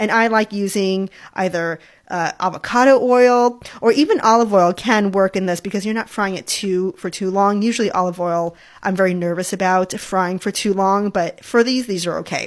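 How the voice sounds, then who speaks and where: In a very clean recording with a silent background, a woman uses a normal speaking voice at a moderate pace with fairly even intonation. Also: medium pitch for a woman. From New York, then Hawaii as a teen. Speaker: food podcast host, food blogger and cooking instructor. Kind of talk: solo cooking podcast talk. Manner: cheerful, laughs often.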